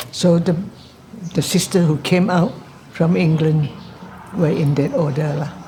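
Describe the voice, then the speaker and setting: In a Malaysian accent, the speaker goes at a fairly slow pace with long, frequent pauses and ordinary pitch variation, amid noticeable background noise and audible room echo. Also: woman, fairly low pitch for a woman. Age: 80s+. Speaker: Anglican nun. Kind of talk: documentary interview.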